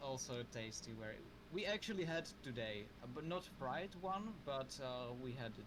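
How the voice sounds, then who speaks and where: A man with a Czech accent talks at a fairly slow pace and medium pitch, his voice making very wide pitch swings. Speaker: livestream host. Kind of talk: casual chat. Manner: halting.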